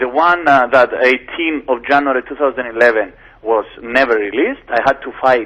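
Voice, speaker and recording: With a Greek accent, a man speaks at a medium pitch with fairly even intonation. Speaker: lawyer. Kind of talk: radio interview. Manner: halting.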